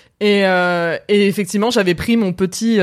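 The recording is very clean, with a silent background. The speech moves at a fairly slow pace with ordinary pitch variation. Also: woman. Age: 30s. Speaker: film content creator. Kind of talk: casual chat. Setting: Twitch live stream.

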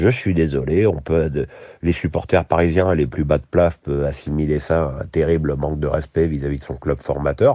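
Against a quiet background, a man with a very deep, low voice and a dark, mellow tone speaks at a moderate pace, with vocal fry. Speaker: football commentator podcaster. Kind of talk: solo podcast commentary. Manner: hesitant with repetitions.

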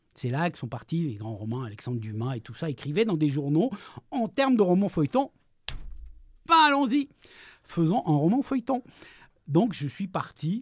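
At a moderate pace broken by long, frequent pauses, a man with a high pitch and very wide pitch swings speaks in a very clean recording with a silent background. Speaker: freelance journalist and novelist. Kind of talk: interview. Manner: halting, frequent repetitions.

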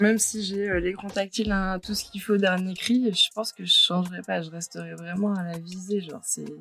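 A woman at medium pitch, moderate pace, and monotone, flat intonation, with big swings in loudness and hardly any pauses. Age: 20s. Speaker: photographer. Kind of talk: casual chat.

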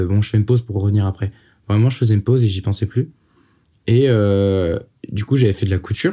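A man talks at a very fast pace with a fairly low pitch, a dark, mellow tone and fairly even intonation, somewhat breathy, with long, frequent pauses. The recording is very clean over a silent background. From Brittany, France. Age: 20s. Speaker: rapper. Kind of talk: casual interview. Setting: in-person studio recording.

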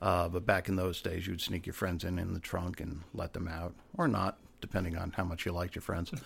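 A man's very deep, low voice, somewhat breathy and monotone, at a fairly quick pace. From Rhode Island, US. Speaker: actor and former detective. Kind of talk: casual chat.

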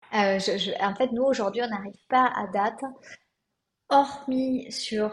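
A woman speaks in a somewhat breathy voice with fairly even intonation. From southwest France. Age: 30s. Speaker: eco-fashion brand founder. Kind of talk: podcast interview.

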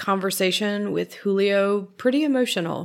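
In a very clean recording with a silent background, a woman at medium pitch speaks fairly slowly in a normal speaking voice. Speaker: podcast host at historic site museum. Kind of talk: scripted narration.

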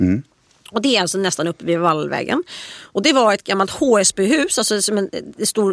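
With lively intonation and some vocal fry, a woman of medium pitch speaks in a dry, close sound with no echo. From Stockholm, Östermalm. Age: 40s. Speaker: author and columnist. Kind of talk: casual chat.

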